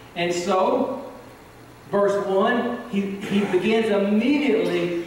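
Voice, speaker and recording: A man speaks with lively intonation. Strong room echo and light background noise are audible. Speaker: preacher. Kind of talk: sermon. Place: church.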